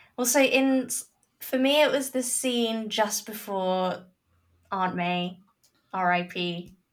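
Speaking very slowly with long, frequent pauses, a woman uses a medium pitch and ordinary pitch variation. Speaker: guest film discussant.

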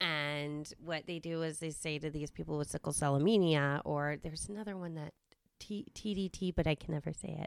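A woman with a Massachusetts accent talks at a moderate pace. Her very deep, low pitch holds fairly even intonation. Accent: Massachusetts American. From Westborough, Massachusetts, US. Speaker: guest, quality control professional. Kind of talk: casual chat, interview between friends.

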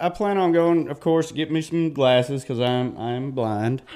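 A man speaks with a Southern US accent at a fairly high pitch. His pace is fairly slow, and his pitch rises and falls in an ordinary way. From northeast Mississippi. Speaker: addiction recovery program graduate. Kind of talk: radio interview. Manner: halting.

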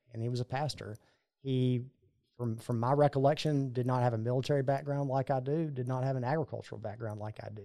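In a very clean recording with a silent background, a man talks at a very fast pace with a medium pitch, fairly even intonation, and a dark, mellow tone. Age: 30s. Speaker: congressional candidate. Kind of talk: interview.

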